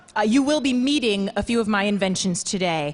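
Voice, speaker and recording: This woman speaks in a New York accent at a medium pitch. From Queens, New York. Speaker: performer. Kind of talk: talk.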